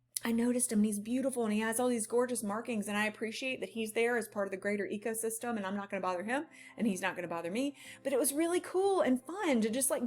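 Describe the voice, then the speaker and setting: Against music in the background, a woman talks at a very fast pace in a fairly high voice with lively intonation. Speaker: life coach. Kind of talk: motivational talk. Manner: animated.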